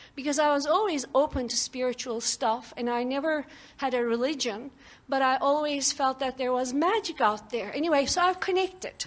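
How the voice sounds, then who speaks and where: A high-pitched woman speaks with a non-native accent. Her pace is moderate and her pitch varies in an ordinary way. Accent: foreign. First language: non-English. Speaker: audience member at seminar. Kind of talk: audience question and testimony. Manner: animated.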